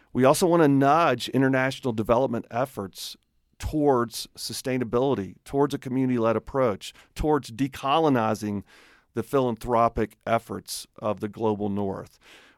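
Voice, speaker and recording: In a Southern US accent, a man talks at a moderate pace and medium pitch with ordinary pitch variation, recorded very clean, dry and close, with a silent background and no echo. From Alabama, US South. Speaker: nonprofit leader and radio host. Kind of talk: radio interview conversation.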